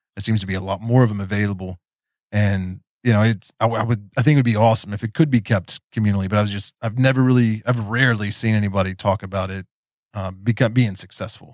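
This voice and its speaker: With an American accent, a man speaks at a very fast pace in a fairly low pitch and fairly even intonation, on a very clean recording with a silent background. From West Virginia, Appalachia. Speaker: podcast host. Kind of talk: casual interview chat.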